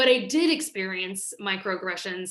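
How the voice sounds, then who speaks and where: Speaking at a moderate pace, a woman with an American accent uses lively intonation. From US Midwest, Kansas. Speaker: nonprofit founder and director. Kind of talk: interview. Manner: hesitant, many fillers.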